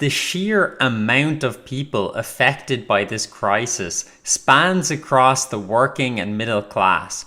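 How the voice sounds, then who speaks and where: A man speaks at medium pitch with a bright, sharp tone and lively intonation. The recording is very clean, with a silent background. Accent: Irish. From Ireland. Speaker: political commentator. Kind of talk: scripted narration.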